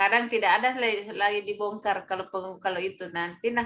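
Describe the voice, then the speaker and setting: The woman's voice has a bright, sharp tone and a monotone, flat intonation. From South Sulawesi (Bugis). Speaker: civil service training mentor. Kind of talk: online mentoring session. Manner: halting, many fillers.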